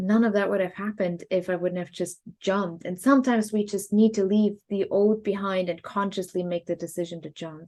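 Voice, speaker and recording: A woman with a German accent talks at a fairly quick pace with hardly any pauses, her medium-pitched voice dark and mellow. Her intonation stays fairly even over a quiet background. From Germany. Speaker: podcast co-host. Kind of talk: casual chat.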